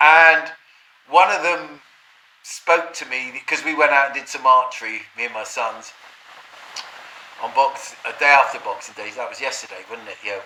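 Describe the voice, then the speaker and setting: At a moderate pace with ordinary pitch variation, the speaker leaves long, frequent pauses, the loudness swings widely, and background noise is noticeable. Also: man, fairly high pitch for a man. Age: 60s. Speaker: vlogger. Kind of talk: casual monologue. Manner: halting.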